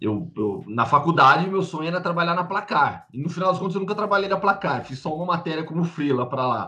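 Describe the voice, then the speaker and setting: A man speaks at a very fast pace with hardly any pauses. His high-pitched voice has lively intonation. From Campinas, interior of São Paulo, Brazil. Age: 30s. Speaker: sports journalist. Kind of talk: interview.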